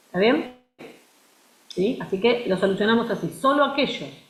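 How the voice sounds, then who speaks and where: A woman's pitch swings very widely as she speaks at a moderate pace. Room echo is audible. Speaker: university lecturer. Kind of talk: lecture. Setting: video call.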